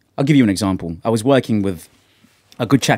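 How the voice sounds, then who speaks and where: A man with a British accent and ordinary pitch variation, dry and close with no echo, on a very clean recording with a silent background. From Caribbean, then England. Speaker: musician and podcast host. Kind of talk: casual chat. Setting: studio.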